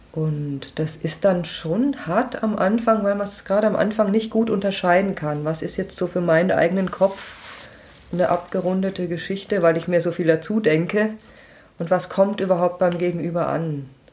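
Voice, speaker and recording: A woman's medium-pitched voice is heard against noticeable background noise. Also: ordinary pitch variation, moderate pace. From Lower Franconia, Germany (Schweinfurt). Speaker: author and software developer. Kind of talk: casual interview. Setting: home kitchen.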